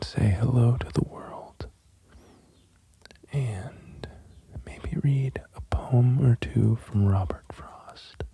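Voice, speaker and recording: A soft-spoken, calm voice moves at a very slow pace. Long, frequent pauses break it up, with noticeable background noise behind. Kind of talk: casual soft-spoken talk to camera.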